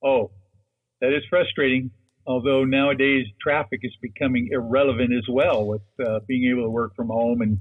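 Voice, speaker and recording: This is a man with an unremarkable speaking voice. His pace is moderate and his intonation fairly even. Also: medium pitch for a man. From Seattle, Washington. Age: 60s. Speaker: lawyer and UFO researcher. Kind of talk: interview.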